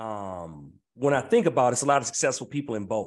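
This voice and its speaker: A man talks at a fairly quick pace in a plain, everyday voice with an American accent. His intonation is lively. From US Mid-Atlantic (Prince George's County, Maryland, DC area). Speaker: entrepreneur and business coach. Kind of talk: podcast interview.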